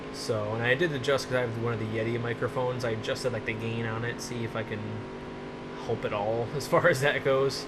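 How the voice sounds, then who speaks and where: Over noticeable background noise and audible room echo, a man of medium pitch talks at a fairly quick pace with fairly even intonation. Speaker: gaming YouTuber. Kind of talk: let's play commentary. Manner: soft-spoken. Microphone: voice reported too quiet.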